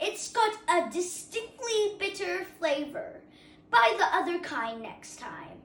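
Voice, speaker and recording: Using a put-on character voice, a woman speaks at an extremely high pitch with very wide pitch swings and big swings in loudness. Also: fairly slow pace. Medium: read story. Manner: grumbling, complaining.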